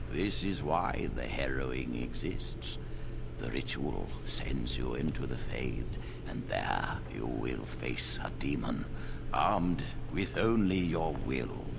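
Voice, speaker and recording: Over loud background noise, a man puts on a character voice at a fairly slow pace. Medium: game stream. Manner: measured, calm, paternal.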